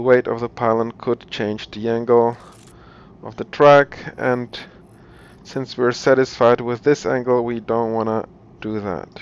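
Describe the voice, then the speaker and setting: With a non-native accent, a man at a medium pitch talks at a fairly slow pace in a monotone, flat delivery broken by long, frequent pauses. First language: not English. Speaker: video game tutorial creator. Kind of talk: tutorial. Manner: halting, many repetitions and fillers; casual.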